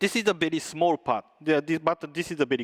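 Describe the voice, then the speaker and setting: Dry, close sound from a man with no echo, a very clean recording against a silent background. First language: not English. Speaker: tech company presenter. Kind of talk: conference presentation with demo. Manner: halting, many filler sounds.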